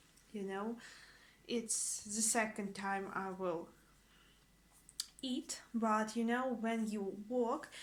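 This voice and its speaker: A woman with a Russian accent, fairly high in pitch, speaking at a very slow pace. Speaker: language teacher vlogger. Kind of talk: casual vlog. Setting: at home. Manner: halting.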